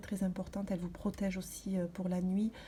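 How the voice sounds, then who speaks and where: Soft-spoken and somewhat breathy, a woman talks at a fairly quick pace and medium pitch. Her tone is dark and mellow, her intonation flat and monotone. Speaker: vlogger. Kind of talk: casual vlog talk. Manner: halting, many hesitations.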